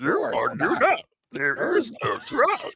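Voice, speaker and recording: The voice is a put-on character voice pitched extremely high. It moves at a fairly slow pace. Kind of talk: oddly phrased, inverted syntax.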